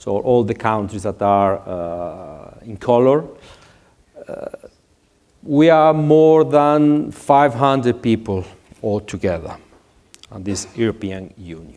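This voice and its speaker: With a strong non-native accent, the speaker moves at a very slow pace, leaving long, frequent pauses, with very wide pitch swings and big swings in loudness. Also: man, medium pitch for a man. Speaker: IT manager at a public institution. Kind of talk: conference presentation. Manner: halting, many fillers.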